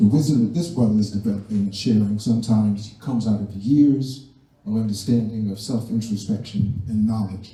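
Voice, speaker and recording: A man speaks at a fairly quick pace with a dark, mellow tone and fairly even intonation, and audible echo fills the room. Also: fairly low pitch for a man. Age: 70s. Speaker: community elder. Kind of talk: community discussion remarks. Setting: community center event.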